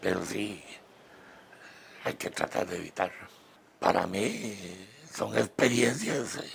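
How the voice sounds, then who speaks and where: A man speaks very slowly, with long, frequent pauses and a fairly low pitch. His pitch varies in an ordinary way, and there is noticeable background noise. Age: 70s. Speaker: retired program participant. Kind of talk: testimony. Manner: halting, many fillers.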